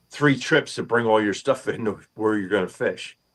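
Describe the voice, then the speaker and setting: Using an ordinary speaking voice, a man moves at a moderate pace and his pitch varies in an ordinary way. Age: 60s. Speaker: fishing streamer. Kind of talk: casual chat. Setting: live stream from boat house.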